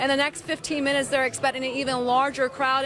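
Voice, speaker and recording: Over noticeable background noise, a woman with an American accent uses a raised, projected voice at a high pitch. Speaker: TV news reporter. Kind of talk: live TV news report.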